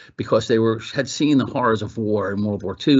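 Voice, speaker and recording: In an East Coast US accent, the speaker talks at a very fast pace with ordinary pitch variation. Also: man. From Brooklyn, New York. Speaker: retired army officer. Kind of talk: interview.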